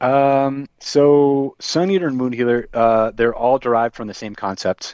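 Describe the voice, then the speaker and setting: Hardly pausing, a man talks at a medium pitch with ordinary pitch variation. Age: 30s. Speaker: metal band vocalist. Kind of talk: casual interview chat.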